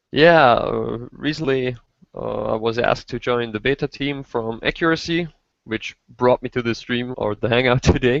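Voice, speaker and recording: A man in a German accent speaks at a moderate pace. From Austria. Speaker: RC helicopter hobbyist, simulator beta tester. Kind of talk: casual chat.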